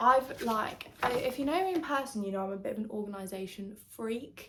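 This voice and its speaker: A woman with a British accent speaks at a fairly slow pace in a high pitch with ordinary variation. Noticeable background noise and audible room echo are present. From England. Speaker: lifestyle vlogger. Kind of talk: casual chat. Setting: at home. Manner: chatty, filler-heavy.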